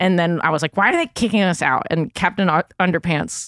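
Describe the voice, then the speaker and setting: In a New York accent, a woman speaks at a fairly low pitch, with a dry, close sound and no echo. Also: very clean recording, silent background. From New York City, Manhattan. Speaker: comedian. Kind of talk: casual chat.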